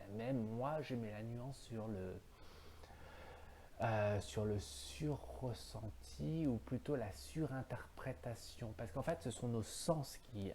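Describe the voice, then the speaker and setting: Breathy to some degree, a man speaks very slowly at medium pitch, with a dark, mellow tone and ordinary pitch variation. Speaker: philosophy video host. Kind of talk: solo philosophical monologue. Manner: halting, many fillers.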